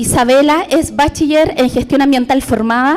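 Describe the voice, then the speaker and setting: The speech comes at a fairly slow pace with ordinary pitch variation. Noticeable background noise runs underneath. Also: woman. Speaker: government environmental officer, session moderator. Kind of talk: moderating a conference session.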